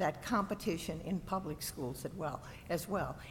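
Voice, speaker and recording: Very slowly, a woman speaks in a somewhat breathy voice with lively intonation. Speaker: state board of education member. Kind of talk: board meeting discussion.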